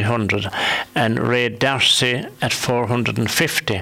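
A Limerick accent with ordinary pitch variation, over noticeable background noise. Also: man. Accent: Irish (Limerick). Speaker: local radio host. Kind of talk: radio panel discussion. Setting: radio studio.

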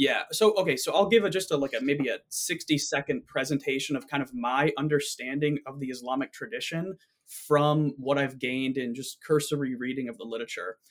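A man with a normal speaking voice talks at a fairly quick pace and fairly high pitch, using ordinary pitch variation and hardly any pauses. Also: big swings in loudness. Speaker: philosophy graduate student. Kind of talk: casual discussion.

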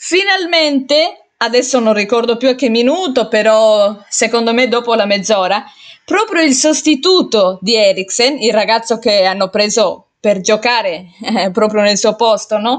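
Speaking at a fairly slow pace with hardly any pauses, this voice has an Italian accent, very even loudness and lively intonation. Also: woman, fairly high pitch for a woman. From Italy. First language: Italian (speaking Spanish). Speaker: amateur podcast host. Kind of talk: casual monologue. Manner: hesitant with repetitions.

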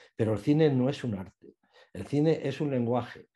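Somewhat breathy and dark, mellow in tone, a man speaks with lively intonation at a moderate pace. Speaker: journalist and radio film commentator. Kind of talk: interview.

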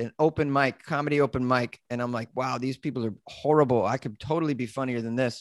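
A man speaks at a medium pitch with an American accent. The sound is dry and close, with no echo. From Massachusetts. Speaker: comedian and podcaster. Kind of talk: casual chat.

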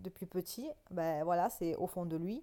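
The voice has a dark, mellow tone and a calm tone, with lively intonation. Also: woman. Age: 20s. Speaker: photographer and podcaster. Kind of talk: solo monologue podcast. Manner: hesitant, many fillers.

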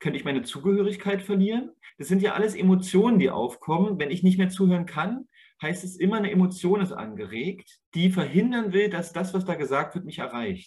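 A man with a high voice talks at a fairly quick pace. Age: 30s. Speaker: nature educator. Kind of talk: interview.

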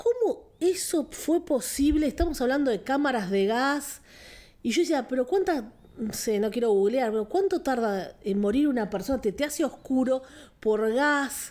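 Lively intonation marks this woman's high-pitched voice. She keeps a fairly slow pace and very even loudness. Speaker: film podcast co-host. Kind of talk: casual chat.

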